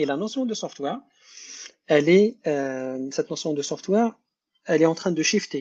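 Very fast speech against a quiet background. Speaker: tech company founder and engineer. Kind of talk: interview. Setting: live online session. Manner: code-switching French and Algerian Arabic.

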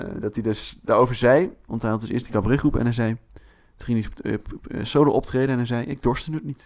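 Speaking at a fairly quick pace, a man with a plain, everyday voice holds a medium pitch with ordinary pitch variation. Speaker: podcast co-host. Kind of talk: casual chat.

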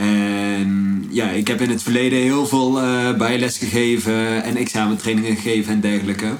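A man with an unremarkable speaking voice talks at medium pitch and a moderate pace, with hardly any pauses, very even loudness and fairly even intonation. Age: 20s. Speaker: entrepreneur. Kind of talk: casual chat.

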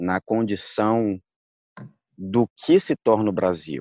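The speech moves at a very slow pace in a dry, close sound with no echo. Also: man, quiet background. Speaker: jurist and candomblé practitioner. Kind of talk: interview.

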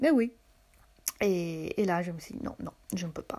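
With a non-native accent, a woman is talking. The rise and fall of her voice is lively. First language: not French (speaking French). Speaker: podcaster. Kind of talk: personal storytelling monologue. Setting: at home in her apartment. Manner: hesitant, many fillers and repetitions.

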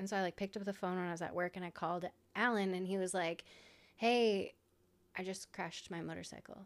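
A woman with an American accent talks at a very fast pace. Her pitch is medium, her intonation fairly even, and the recording very clean with a silent background. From Iowa. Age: 30s. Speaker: motorcycle racer and graphic designer. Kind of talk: casual chat.

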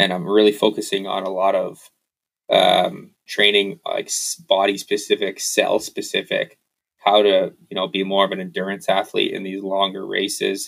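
At a moderate pace, this man speaks with a Canadian accent. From Canada. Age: 30s. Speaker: off-road motorcycle racer. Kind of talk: casual chat.

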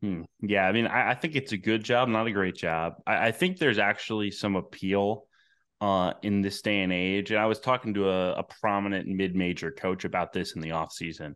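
A man with an American accent has an unremarkable speaking voice, fairly low in pitch with ordinary pitch variation. He talks at a fairly quick pace against a quiet background. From upstate New York, Albany. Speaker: college basketball writer. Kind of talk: casual interview.

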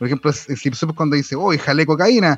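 A man with a Chilean accent talks in a fairly high voice with ordinary pitch variation against a quiet background. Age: 30s. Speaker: podcast host. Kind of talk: casual chat.

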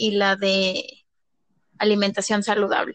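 A fairly high-pitched woman at a fairly slow pace in a dry, close sound with no echo. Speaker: kindergarten teacher. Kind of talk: casual chat.

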